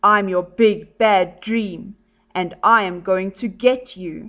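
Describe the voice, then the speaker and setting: In a put-on character voice, a woman speaks at medium pitch and a very slow pace. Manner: menacing.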